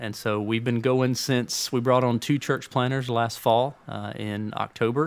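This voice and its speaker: With fairly even intonation and a medium pitch, a man talks at a moderate pace. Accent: Alabama. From Birmingham, Alabama. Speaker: executive pastor. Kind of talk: interview conversation. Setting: studio.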